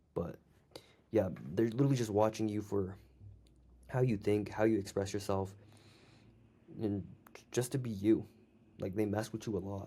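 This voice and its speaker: A man's put-on character voice, fairly low and strained, at a moderate pace with long, frequent pauses. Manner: talking while lying down, slightly strained.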